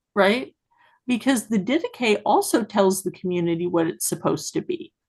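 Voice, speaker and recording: A woman with an American accent speaks at a moderate pace in a medium pitch, somewhat breathy. Her pitch swings very widely over a quiet background. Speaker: livestream host discussing scripture. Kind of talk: casual livestream discussion. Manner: halting, repeats words.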